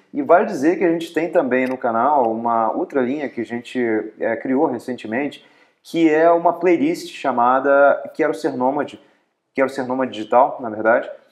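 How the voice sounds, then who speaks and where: In a quiet background, a man talks at a moderate pace, his pitch varying in an ordinary way. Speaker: travel vlogger. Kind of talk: casual vlog chat. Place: home room. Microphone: lapel.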